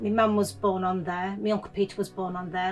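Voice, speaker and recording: Music plays behind a woman with a medium-pitched voice. Her intonation is monotone and flat. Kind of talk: interview answer, personal testimony.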